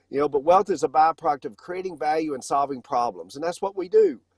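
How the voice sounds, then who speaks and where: With a Southern US accent, a fairly high-pitched man speaks at a fairly quick pace, the sound dry and close with no echo on a very clean recording with a silent background. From US South. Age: 50s. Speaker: financial company founder. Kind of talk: casual chat.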